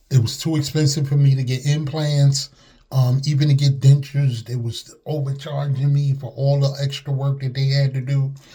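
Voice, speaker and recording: The voice has a dark, mellow tone and is somewhat breathy. Its intonation is monotone and flat, at a moderate pace. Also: man, fairly high pitch for a man. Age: 60s. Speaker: customer giving testimonial. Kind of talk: testimony. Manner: casual, hesitant.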